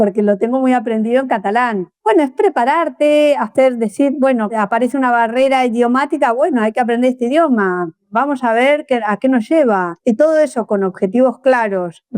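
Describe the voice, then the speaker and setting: High-pitched woman with an Argentine accent, moderate pace and hardly any pauses, ordinary pitch variation and very even loudness, in a dry, close sound with no echo on a very clean recording with a silent background. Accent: Argentine Spanish (voseo). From Argentina. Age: young. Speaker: social project founder. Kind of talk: interview.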